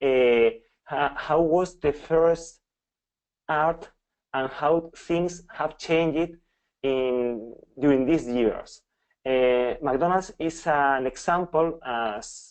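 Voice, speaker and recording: With a Spanish accent and a fairly high pitch, a man speaks at a very slow pace, using ordinary pitch variation and long, frequent pauses. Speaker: professor. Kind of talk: lecture. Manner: halting.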